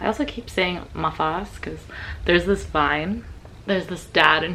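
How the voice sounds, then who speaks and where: Noticeable background noise behind a woman with a fairly low pitch. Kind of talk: casual get-ready-with-me makeup talk to camera.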